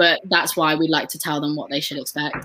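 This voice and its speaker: This woman has a very deep, low pitch and an English accent. She speaks fairly quickly in a monotone, flat way. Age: 20s. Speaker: former sales consultant. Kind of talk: online live training. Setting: live video stream.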